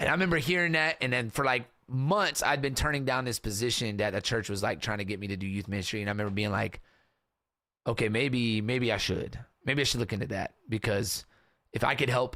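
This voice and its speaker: On a very clean recording with a silent background, a man at medium pitch speaks in an animated tone with a bright, sharp sound. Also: ordinary pitch variation, fairly quick pace. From US South, western Kentucky small town. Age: 30s. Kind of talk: casual interview chat. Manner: animated, casual storytelling.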